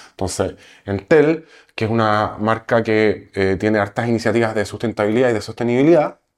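A man speaks in an ordinary speaking voice at a medium pitch with ordinary pitch variation. The recording is very clean, with a silent background. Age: 40s. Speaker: entrepreneur. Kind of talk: interview.

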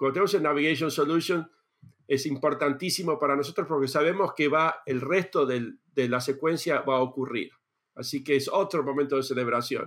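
A man with a Rioplatense accent talks at a fairly quick pace and a fairly high pitch, with ordinary pitch variation. His loudness stays very even in a very clean recording with a silent background. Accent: Argentine Spanish (rioplatense). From Argentina. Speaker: space engineer. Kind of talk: interview. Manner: halting, many repetitions and fillers.

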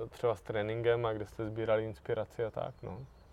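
A very fast, monotone man's voice at medium pitch with flat intonation. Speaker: climbing podcast host. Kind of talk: podcast outro; casual interview.

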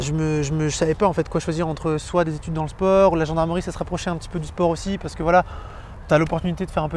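The speaker is a man with a high voice and fairly even intonation. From Brittany, France. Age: 20s. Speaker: former police officer and property investor. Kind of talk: interview.

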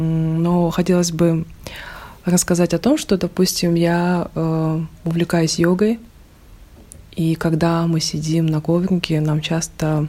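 Very slowly and in a monotone, flat intonation, a woman speaks with a fairly low pitch and a dark, mellow tone. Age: 30s. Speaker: stylist and university employee. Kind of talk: interview.

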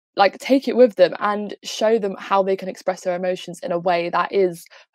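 A woman with an English accent speaks at a moderate pace and medium pitch, her intonation fairly even, in a dry, close sound with no echo. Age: 18. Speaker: student activist. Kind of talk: panel discussion.

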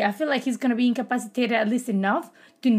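A woman with a non-native accent talks at a very fast pace, her voice somewhat breathy. Her intonation stays fairly even, and the recording is very clean with a silent background. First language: not English. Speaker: podcast host. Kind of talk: casual chat.

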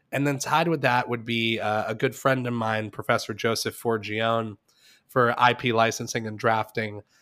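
Speaking at a moderate pace, a man with a plain, everyday voice keeps a medium pitch and a fairly even intonation. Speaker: podcast host. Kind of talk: casual chat. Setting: remote recording.

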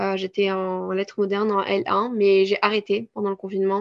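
Over a quiet background, a woman talks at a fairly quick pace in a monotone, flat intonation, with a dry, close sound and no echo. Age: 20s. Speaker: sophrologist and content creator. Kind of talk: interview. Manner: halting, many hesitations.

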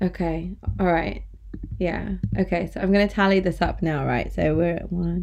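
A woman talks at a moderate pace, with noticeable noise behind her. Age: 30s. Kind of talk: casual chat.

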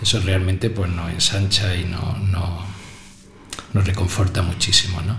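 At a fairly slow pace, a man with a very deep, low pitch speaks in a monotone, flat way, with audible room echo and noticeable background noise. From Spain, Granada province (Ogíjares). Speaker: teacher. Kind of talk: interview. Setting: school radio studio.

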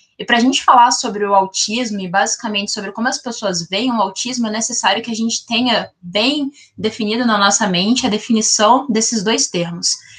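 In a normal speaking voice, a woman with a fairly high pitch talks at a fairly quick pace with hardly any pauses and fairly even intonation. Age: 20s. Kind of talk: podcast interview.

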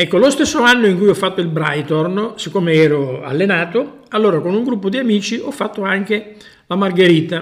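A high-pitched man talks fairly briskly, his intonation lively. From Sicily. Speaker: traveller and hiker. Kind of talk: casual chat. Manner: halting.

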